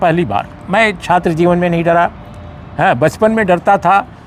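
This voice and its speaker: With ordinary pitch variation, a man talks at a high pitch against noticeable background noise. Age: 60s. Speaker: senior journalist. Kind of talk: interview. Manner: halting.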